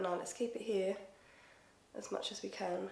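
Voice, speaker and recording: A woman in an Essex accent at a moderate pace, with audible room echo. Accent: Essex accent, th-fronting. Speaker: beauty youtuber. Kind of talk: makeup tutorial with casual chat. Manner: chatty, animated.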